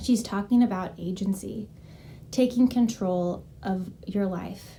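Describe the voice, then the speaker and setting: Soft-spoken and somewhat breathy, the voice has a dark, mellow tone and fairly even intonation at a very slow pace. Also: woman, medium pitch for a woman. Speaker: health and wellness coach. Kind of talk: casual vlog talk. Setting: at home.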